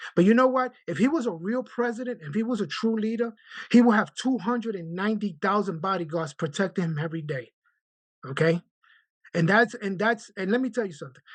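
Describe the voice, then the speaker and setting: Against a quiet background, a man with a New York accent talks at a fairly quick pace in a high pitch, his tone animated and his intonation lively. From Brooklyn, New York. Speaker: union branch president, letter carrier. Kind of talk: video call meeting discussion.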